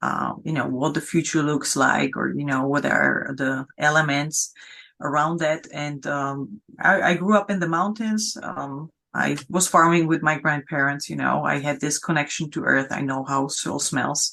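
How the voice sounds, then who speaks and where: Speaking with a non-native accent, a woman with a very deep, low pitch and a bright, sharp tone shows vocal fry and ordinary pitch variation at a fairly slow pace over a quiet background. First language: not English. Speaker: founder of sustainability business network. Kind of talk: interview. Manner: halting, many fillers.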